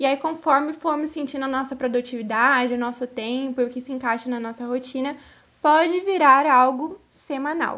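A woman speaks at a moderate pace in a high pitch with a bright, sharp tone. Her loudness swings widely while her intonation stays fairly even. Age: 20s. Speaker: podcast co-host, fashion and beauty journalist. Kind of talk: casual chat.

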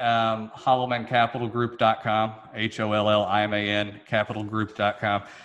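A man at a medium pitch, speaking at a fairly slow pace. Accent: Southern US. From Memphis, Tennessee. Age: 20s. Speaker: real estate developer. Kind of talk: casual interview.

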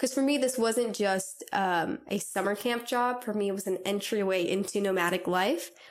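A woman speaks with a Californian accent at medium pitch. Her moderate pace has hardly any pauses and ordinary pitch variation. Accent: Californian American. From Southern California. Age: 20s. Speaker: travel podcaster. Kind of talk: solo podcast monologue. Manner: casual, many fillers and laughs.

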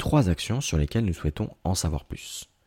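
Recorded very cleanly against a silent background, a man speaks with a very deep, low pitch and a dark, mellow tone in a dry, close sound with no echo. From Paris suburbs (Aubervilliers, Seine-Saint-Denis). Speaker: podcast host. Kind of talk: scripted interview questions.

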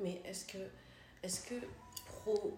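A woman speaks at medium pitch, very slowly, with fairly even intonation. Room echo is audible, and music plays in the background. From Congo, Kinshasa. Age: 30s. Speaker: cultural media presenter. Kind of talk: casual discussion.

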